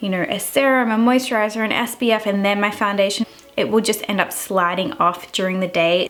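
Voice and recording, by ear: Faint music sits behind a woman speaking at a medium pitch and a fairly quick pace. Her tone is fairly bright and her intonation fairly even.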